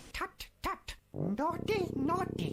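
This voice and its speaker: An extremely high-pitched, put-on character voice that sounds female. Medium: read story. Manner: chirpy, fussy.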